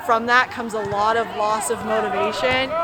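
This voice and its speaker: A fairly even intonation carries over crowd noise in the background, with audible echo from the room. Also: woman. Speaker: youth soccer coach. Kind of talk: interview.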